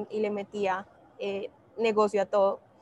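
A woman's voice of fairly high pitch. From Colombia, Bogotá. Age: 20s. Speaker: social entrepreneur, company founder. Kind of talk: interview.

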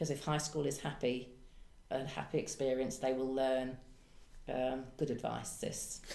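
With long, frequent pauses at a moderate pace, a woman speaks in a very deep, low pitch and a dark, mellow tone, her intonation monotone and flat, her loudness very even, and audible room echo around her. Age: 60s. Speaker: hairdresser and counsellor. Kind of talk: testimony.

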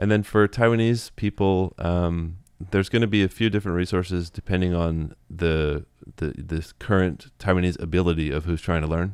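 A man with a very deep, low voice talks against a quiet background. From United States. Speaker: YouTuber teaching Taiwanese. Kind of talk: casual interview chat.

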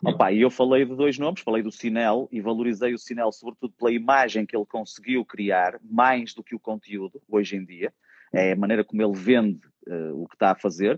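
This man has a normal speaking voice at a medium pitch. He moves at a fairly quick pace with ordinary pitch variation. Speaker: stand-up comedian. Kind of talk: casual chat.

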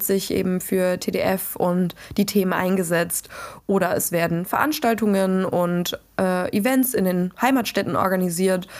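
At a moderate pace, a woman talks in an ordinary speaking voice at medium pitch, with ordinary pitch variation. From western Germany, Dutch border region. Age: 20s. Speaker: podcast host and student activist. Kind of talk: solo podcast monologue. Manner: casual, with frequent fillers.

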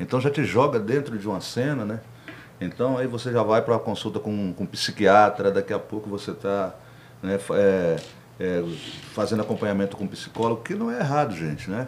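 This man has a fairly low pitch and an ordinary speaking voice. His pace is moderate, with ordinary pitch variation. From Brasília, Federal District, Brazil. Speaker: rapper and podcast host. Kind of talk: casual interview chat.

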